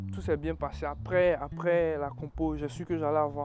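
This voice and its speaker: A man talks rather slowly while music plays behind him. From Ivory Coast, east. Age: young. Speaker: international student. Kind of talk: interview testimony. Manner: casual, conversational.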